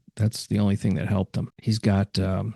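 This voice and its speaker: A man with a dark, mellow tone speaks at a fairly low pitch and moderate pace, with fairly even intonation. The sound is dry and close with no echo, over a quiet background. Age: 70s. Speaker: podcast host. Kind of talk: podcast interview. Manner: halting, many fillers.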